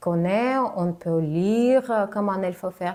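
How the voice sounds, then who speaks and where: A woman's dark, mellow voice with a non-native accent, at a very slow pace. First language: not French (speaking French). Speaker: communication coach, former TV journalist. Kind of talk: vlog tutorial. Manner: hesitant, frequent filler sounds; slower than native speech.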